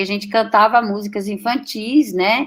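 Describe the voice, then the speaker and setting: A woman with a German accent speaks at a fairly slow pace, her intonation fairly even. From Brazil, German-speaking family. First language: German (speaking Portuguese). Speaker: professor. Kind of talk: interview testimony. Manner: halting.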